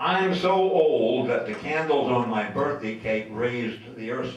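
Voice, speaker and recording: Over noticeable background noise and audible room echo, a man with an American accent speaks at a moderate pace in a medium pitch with lively intonation. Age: 80s+. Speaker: mayor being roasted. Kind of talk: roast speech.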